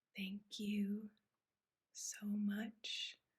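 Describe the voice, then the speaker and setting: The speaker is soft-spoken and somewhat breathy. The pace is very slow. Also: woman. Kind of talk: ASMR show-and-tell.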